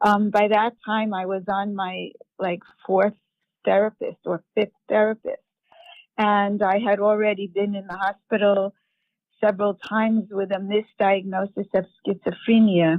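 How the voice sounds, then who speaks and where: A woman at a medium pitch, flat and monotone, at a fairly slow pace. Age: 70s. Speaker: author and mental health patient. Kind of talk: interview. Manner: halting.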